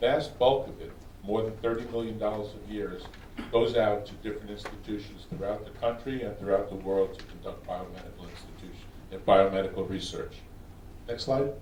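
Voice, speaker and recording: Amid noticeable background noise and audible room echo, a man with a New York accent speaks at a fairly low pitch with fairly even intonation and big swings in loudness. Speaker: research scientist. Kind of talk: conference presentation. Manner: fast.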